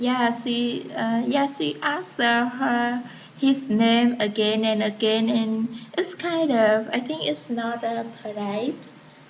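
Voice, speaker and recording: A woman with a fairly high pitch speaks at a very slow pace with lively intonation. There is noticeable background noise. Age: 20s. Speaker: English learner. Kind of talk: student answers in online lesson. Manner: hesitant.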